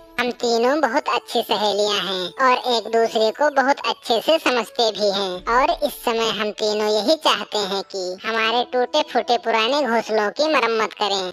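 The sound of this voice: A woman puts on a cartoonish character voice, pitched fairly high. She keeps a moderate pace with hardly any pauses.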